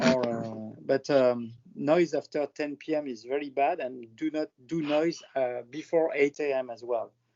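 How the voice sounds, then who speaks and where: Speaking in a French accent at a moderate pace with hardly any pauses, a man uses a fairly high pitch and fairly even intonation. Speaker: airline industry professional presenting his country. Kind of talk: presentation on video call. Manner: halting, many fillers.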